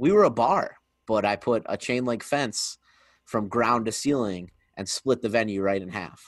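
A man with an American accent speaks in a normal speaking voice at a medium pitch and a moderate pace. His pitch varies in an ordinary way against a quiet background. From Pennsylvania, Scranton. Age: 30s. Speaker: podcast host. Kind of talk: casual interview chat.

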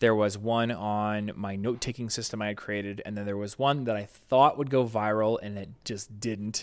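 Over a silent background in a very clean recording, a man with a plain, everyday voice speaks with hardly any pauses, fairly low pitch, and fairly even intonation. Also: moderate pace. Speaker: YouTube creator and entrepreneur. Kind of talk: interview conversation. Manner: casual, with many fillers.

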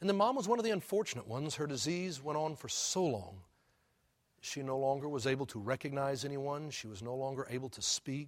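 A plain, everyday voice with an American accent. It moves at a fairly quick pace with lively intonation. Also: man, fairly high pitch for a man. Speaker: pastor. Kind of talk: sermon. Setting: church.

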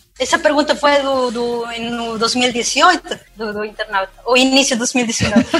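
A woman with a Peruvian accent speaks at a high pitch and a fairly slow pace, with ordinary pitch variation and hardly any pauses. Background noise is noticeable. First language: Spanish (speaking Portuguese). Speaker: cloud security specialist. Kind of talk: podcast interview.

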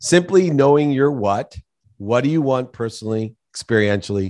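Lively intonation marks a man's normal speaking voice at a moderate pace over a quiet background. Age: 50s. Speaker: business executive and author. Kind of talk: interview.

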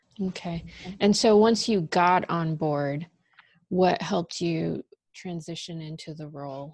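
A woman's fairly low voice in a Californian accent, fairly slow, with ordinary pitch variation and big swings in loudness. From Los Angeles. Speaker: podcast host, digital content marketer. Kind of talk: interview.

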